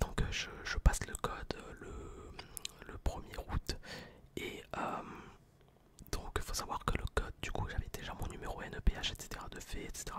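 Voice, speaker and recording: A man whispers in a relaxed tone, his loudness swinging widely, with long, frequent pauses and noticeable background noise. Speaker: ASMR content creator. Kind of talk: casual storytime to camera. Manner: whispered, relaxed.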